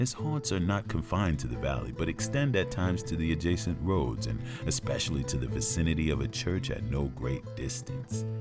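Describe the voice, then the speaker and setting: With music in the background, a man with a very deep, low pitch talks at a fairly quick pace with hardly any pauses and very wide pitch swings. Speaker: narrator. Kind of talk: storytelling narration.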